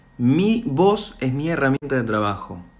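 Speaking in a Rioplatense accent, a man uses a fairly high pitch and a fairly slow pace, with very wide pitch swings. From Argentina. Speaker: voice impressionist. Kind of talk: monologue to camera. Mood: earnest, emotional, somewhat indignant. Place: home room. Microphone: phone near.

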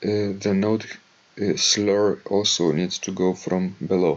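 A man speaks slowly in a low voice.

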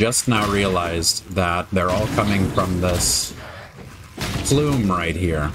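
Over noticeable background noise, a man with a very deep, low voice speaks at a very slow pace, with ordinary pitch variation and very even loudness. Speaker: gaming video creator. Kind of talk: gameplay commentary.

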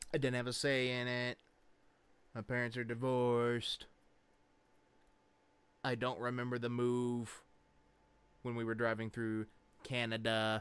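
Speaking at a slow pace with long, frequent pauses, a man keeps a monotone, flat intonation and a fairly bright, clear, smooth tone. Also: medium pitch for a man.

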